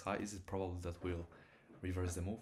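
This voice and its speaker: A man's very deep, low-pitched voice, somewhat breathy. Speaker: day trader. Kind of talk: trading livestream commentary. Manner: fast.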